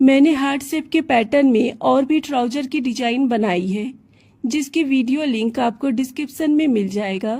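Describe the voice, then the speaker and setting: Her voice is high-pitched yet dark and mellow in tone, as this woman speaks at a fairly slow pace with ordinary pitch variation. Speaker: sewing tutorial creator. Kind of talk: tutorial.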